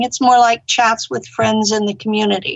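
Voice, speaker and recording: A woman's plain, everyday voice, fairly high-pitched, with ordinary pitch variation. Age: 60s. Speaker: online interviewer. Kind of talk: casual chat.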